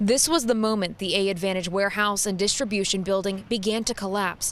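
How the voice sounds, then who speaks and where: With an American accent, a woman with an unremarkable speaking voice talks at a medium pitch and a fairly quick pace. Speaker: TV news anchor and reporter. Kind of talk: live field reporter delivery. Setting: outdoors at the scene.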